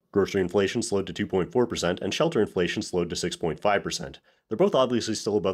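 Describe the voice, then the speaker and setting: A man's fairly low voice with a Canadian accent, very fast and full of lively intonation. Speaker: economics news commentator. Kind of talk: news commentary.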